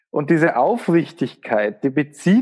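This is a man speaking. He has a Bavarian accent. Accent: Bavarian, warm. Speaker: spiritual coach and healer. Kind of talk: casual interview conversation.

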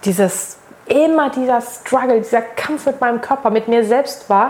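Noticeable background noise sits behind a woman who talks at a moderate pace in a high voice with ordinary pitch variation. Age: 30s. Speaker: social media manager and make-up artist. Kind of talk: casual interview conversation.

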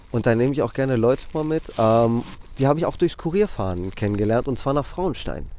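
This is a man speaking at a medium pitch. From Greece (Athens). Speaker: bike courier. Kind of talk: casual interview. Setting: outdoors.

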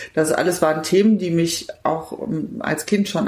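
Her voice is fairly low, and the woman speaks at a moderate pace with fairly even intonation. Background noise is noticeable. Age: 50s. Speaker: politician. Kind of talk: interview.

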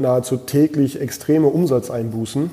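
Medium in pitch and flat in intonation, a man speaks in a monotone at a moderate pace. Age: 30s. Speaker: restaurant owner. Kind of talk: interview.

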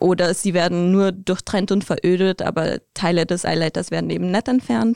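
At a moderate pace with hardly any pauses, a woman speaks at medium pitch with ordinary pitch variation and a dark, mellow tone, in a dry, close sound with no echo against a quiet background. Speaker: interview guest. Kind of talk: casual interview.

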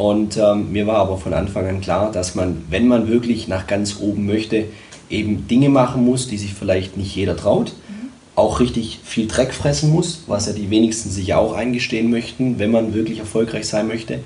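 A man's fairly low-pitched voice carries audible room echo. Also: ordinary pitch variation, moderate pace. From Germany, Tübingen (Swabia). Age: 30s. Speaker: sales and communication coach, entrepreneur. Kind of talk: interview. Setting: studio.

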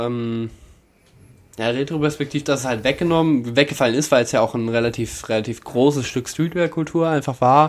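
Fairly quick and with fairly even intonation, a man talks in an unremarkable speaking voice. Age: 20s. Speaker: fashion commentator. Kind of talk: casual chat.

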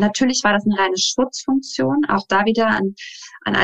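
A woman talks at a fairly high pitch and a moderate pace in a normal speaking voice with lively intonation. The sound is dry and close, with no echo. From Saarland, Germany. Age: 30s. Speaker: dance teacher and life coach. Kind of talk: interview.

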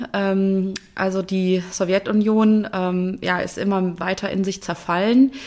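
The voice moves at a very slow pace with monotone, flat intonation and hardly any pauses. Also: woman, medium pitch for a woman. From Germany. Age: 30s. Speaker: engineer and conference organiser. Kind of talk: interview.

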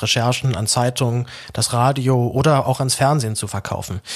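A normal speaking voice from a man, with medium pitch, a moderate pace and ordinary pitch variation. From Berlin, Germany. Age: 20s. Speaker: journalist and podcaster. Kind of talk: personal announcement monologue.

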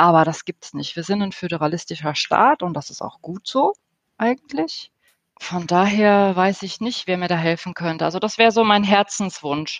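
Speaking in an ordinary speaking voice at medium pitch, a woman keeps a moderate pace with ordinary pitch variation but big swings in loudness. The sound is dry and close with no echo, against a quiet background. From Germany. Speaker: interior architect, professional association president. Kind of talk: interview.

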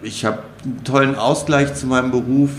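A man at a medium pitch and fairly slow pace, amid noticeable background noise and audible room echo. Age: 40s. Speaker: primary school headteacher. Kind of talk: casual interview.

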